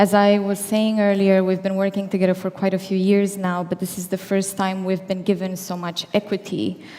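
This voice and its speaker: A woman speaks at medium pitch in a dark, mellow tone. Her delivery is shaky, with monotone, flat intonation. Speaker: company founder. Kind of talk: keynote speech. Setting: stage with audience. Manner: formal.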